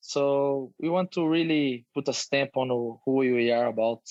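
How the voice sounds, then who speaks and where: The speaker is a man. He has a Brazilian Portuguese accent. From Brazil, countryside. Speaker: professional footballer. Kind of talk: interview. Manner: halting with fillers.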